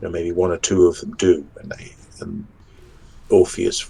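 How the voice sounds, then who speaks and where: He speaks in a strong English accent. The man keeps a moderate pace. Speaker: fantasy author. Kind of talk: podcast interview.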